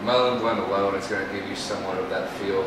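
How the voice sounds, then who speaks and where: Amid noticeable background noise and audible room echo, a man speaks at a very fast pace. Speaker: hookah lounge worker and co-host. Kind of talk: casual chat. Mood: relaxed, chatty. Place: bar.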